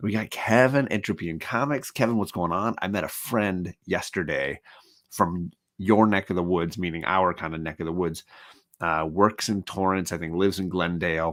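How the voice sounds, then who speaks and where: The recording is very clean, with a silent background. A man with a very deep, low pitch talks at a moderate pace with ordinary pitch variation. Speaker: comic book YouTuber. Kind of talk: casual livestream chat. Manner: soft-spoken, keeping voice down.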